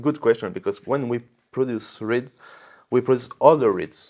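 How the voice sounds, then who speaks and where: The speaker is a man with a French accent and a medium pitch. His pitch varies in an ordinary way, and the background is quiet. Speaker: reed manufacturer representative. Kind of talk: product explanation. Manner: halting, many repetitions and fillers.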